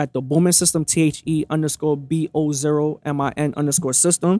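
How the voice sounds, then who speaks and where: A man with a Brooklyn accent on a very clean recording with a silent background. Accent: New York (Brooklyn). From Brooklyn, New York. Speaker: podcast guest sharing relationship story. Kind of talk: casual interview chat. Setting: recorded at a restaurant. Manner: animated, passionate.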